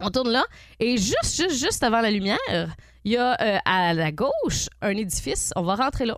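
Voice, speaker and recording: An animated woman with a Quebec accent, fairly high pitched, very wide pitch swings, a moderate pace, very even loudness. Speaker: morning radio host. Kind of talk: casual radio banter.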